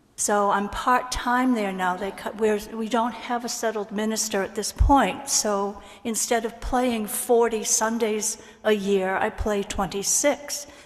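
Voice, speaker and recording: Over noticeable background noise, a woman speaks at a fairly slow pace. Her voice is fairly high, with fairly even intonation. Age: 80s+. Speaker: church musician. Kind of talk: congregational sharing of joys and concerns. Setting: church service.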